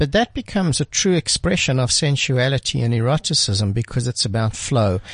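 Over a quiet background, a man speaks fairly quickly at a medium pitch with lively intonation, very even loudness and a somewhat breathy voice, in dry, close sound with no echo. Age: 50s. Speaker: radio host and sex educator. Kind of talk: casual chat. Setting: studio.

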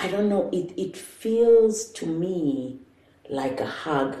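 A woman talks with lively intonation, and the room echo is clearly audible. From South Africa, Johannesburg. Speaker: entrepreneur. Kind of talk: casual chat. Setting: at home.

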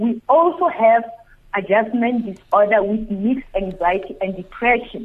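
At a moderate pace, a woman with a fairly high pitch uses an ordinary speaking voice with ordinary pitch variation. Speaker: psychologist. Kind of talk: radio interview. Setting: phone line.

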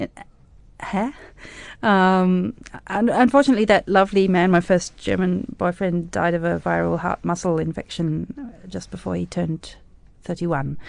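Against a quiet background, a woman speaks with an Australian accent. Her pitch is medium and her pace moderate. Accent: Australian-tinged English. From South Africa, raised in Australia (Brisbane). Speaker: music critic and arts organization founder. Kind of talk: radio interview. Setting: studio. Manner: animated.

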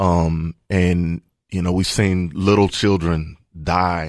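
Against a quiet background, a man with a Tennessee accent speaks in a very deep, low monotone. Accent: Tennessee Southern US. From Middle Tennessee, rural area near Murfreesboro. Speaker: pastor. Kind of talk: casual chat. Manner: halting, many fillers.

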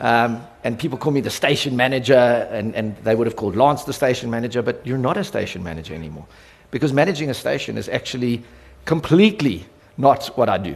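Speaking very fast with a South African accent, a man uses a medium pitch, lively intonation and vocal fry, with audible room echo. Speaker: radio company executive. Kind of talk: conference talk. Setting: stage with audience. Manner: animated.

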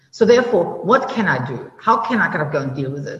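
Very fast speech from a woman competes with noticeable background noise. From Germany. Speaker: venture capital investor. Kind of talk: interview.

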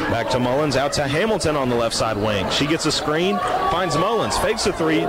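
A man's pitch swings very widely as he talks, with noticeable background noise behind him. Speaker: radio play-by-play broadcaster. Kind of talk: live sports commentary. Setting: courtside broadcast at a high school gym. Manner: fast, fluent play-by-play with rapid call of passes and shots.

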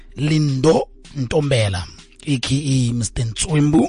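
The speaker is a man. His pitch is fairly high. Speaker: radio host. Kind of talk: casual chat. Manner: animated.

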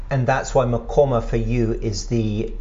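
A man talks in an English accent at a medium pitch with ordinary pitch variation. Noticeable background noise runs underneath. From England. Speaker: podcast host, historian and writer. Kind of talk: interview. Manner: halting.

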